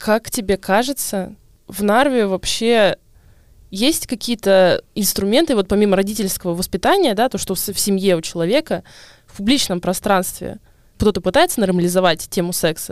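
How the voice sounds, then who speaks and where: A woman with an ordinary speaking voice talks at medium pitch and a moderate pace with ordinary pitch variation, in a very clean, dry, close recording with a silent background and no echo. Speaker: podcast host. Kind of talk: casual chat.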